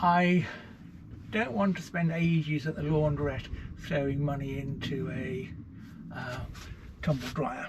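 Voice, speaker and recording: Noticeable background noise sits behind a man with a fairly high pitch. He talks at a fairly slow pace with long, frequent pauses. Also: ordinary pitch variation. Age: 70s. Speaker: author and nomad living in a lorry. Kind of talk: interview answer. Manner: cheerful, positive.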